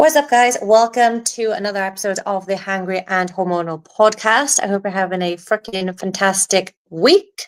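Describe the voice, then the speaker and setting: A woman with an ordinary speaking voice talks at a moderate pace with hardly any pauses. Her pitch is medium, with ordinary pitch variation. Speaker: podcast host and coach. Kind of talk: casual podcast monologue. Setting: live stream while recording podcast.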